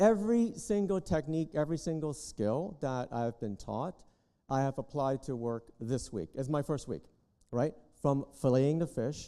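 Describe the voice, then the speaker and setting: In a Canadian accent, a man with a dark, mellow tone and fairly high pitch speaks at a moderate pace with lively intonation. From Canada. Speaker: culinary graduate. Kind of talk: ceremony interview. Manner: animated.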